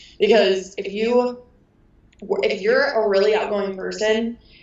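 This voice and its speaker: A woman with a medium-pitched voice speaks in an animated tone over noticeable background noise. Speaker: wedding photographer. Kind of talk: interview. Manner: loud.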